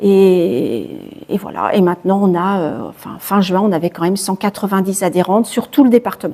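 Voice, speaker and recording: Her tone is dark and mellow, at a medium pitch for a woman. She keeps a moderate pace with ordinary pitch variation. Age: 60s. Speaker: charity founder, cancer survivor. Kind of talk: interview. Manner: hesitant, repeats words.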